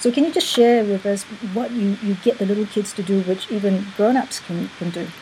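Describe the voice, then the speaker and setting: A woman talks at a fairly quick pace with ordinary pitch variation against noticeable background noise. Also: medium pitch for a woman. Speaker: interviewer host of coaching show. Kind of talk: interview, energetic intro. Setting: live video/online broadcast.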